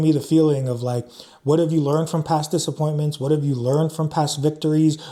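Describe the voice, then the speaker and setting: At a very fast pace, a man speaks in a fairly high pitch with a dark, mellow tone and fairly even intonation. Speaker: tarot reader. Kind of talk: tarot reading. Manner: casual, filler-heavy.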